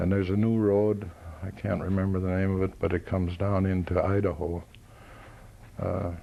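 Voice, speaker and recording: With an American accent, a man speaks at a moderate pace in a very deep, low pitch with a dark, mellow tone. His intonation is monotone and flat, his loudness very even, and his pauses long and frequent. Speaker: war veteran. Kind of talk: oral history interview. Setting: veterans reunion. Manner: halting.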